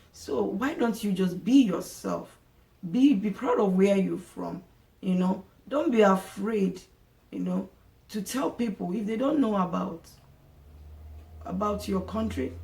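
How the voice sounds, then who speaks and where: Long, frequent pauses break up a woman's speech at a fairly slow pace. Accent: African. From Nigeria. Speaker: vlogger. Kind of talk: casual monologue to camera. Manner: halting, many repetitions and fillers.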